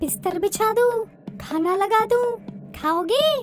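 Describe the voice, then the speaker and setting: With music in the background, a cartoonish character voice talks at a fairly slow pace. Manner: timid.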